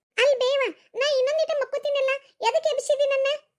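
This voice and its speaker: In a put-on character voice, a woman speaks fairly quickly with an extremely high, squeaky pitch and monotone, flat intonation. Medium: cartoon.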